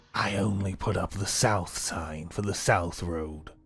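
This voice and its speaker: A man puts on a character voice, very deep and low in pitch, delivered at a fairly slow pace. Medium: actual play.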